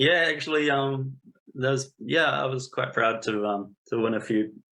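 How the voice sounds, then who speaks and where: Speaking with a New Zealand accent, a man uses a medium pitch with ordinary pitch variation at a moderate pace. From New Zealand, Napier. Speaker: statistician. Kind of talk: interview. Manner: hesitant.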